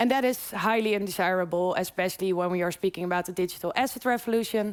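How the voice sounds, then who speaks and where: A woman speaks very fast in a Dutch accent at a medium pitch, with ordinary pitch variation, very even loudness, and a very clean recording with a silent background. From Netherlands. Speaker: PhD candidate. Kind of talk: conference presentation. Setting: conference room with audience.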